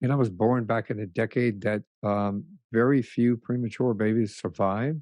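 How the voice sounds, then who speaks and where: Fairly even intonation marks a man's medium-pitched voice as he talks at a moderate pace. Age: 60s. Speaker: retired police sergeant. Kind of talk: interview testimony. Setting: podcast interview. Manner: halting, many fillers and restarts.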